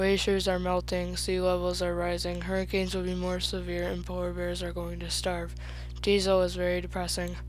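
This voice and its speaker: With music in the background, a put-on character voice mumbles at a fairly quick pace. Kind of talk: dull presentation delivery. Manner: sleepy, monotone, mumbling.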